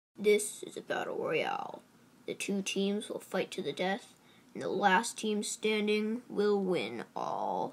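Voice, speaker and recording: A female-sounding cartoonish character voice at a fairly slow pace. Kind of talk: game-show announcing.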